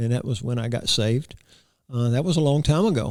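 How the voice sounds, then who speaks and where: A man speaks in a rural Florida accent. His pace is fairly quick. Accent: US Southern, rural Florida. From Florida, Hardee County. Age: 60s. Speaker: cowboy church preacher. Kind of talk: interview. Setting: studio. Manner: animated.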